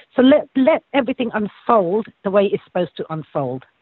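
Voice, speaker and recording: With an English accent, a man speaks at a high pitch with very wide pitch swings. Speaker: psychic reader. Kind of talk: spiritual reading.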